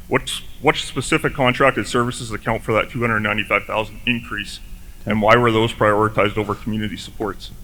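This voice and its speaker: A man talks at a very fast pace in a medium pitch, with a bright, sharp tone. His intonation stays monotone and flat on a very clean recording with a silent background. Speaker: resident asking questions at town hall. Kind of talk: public meeting question. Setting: town hall meeting with microphone. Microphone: too close to mic, echoes.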